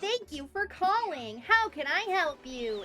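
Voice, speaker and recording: Clear background noise sits behind a put-on character voice that is extremely high, cheerful in tone, fairly slow and full of very wide pitch swings. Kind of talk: polite, professional. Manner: forced cheerful.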